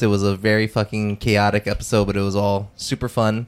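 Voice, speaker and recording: With music in the background, a man talks at a fairly quick pace in a fairly low pitch. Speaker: podcast host. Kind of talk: casual chat.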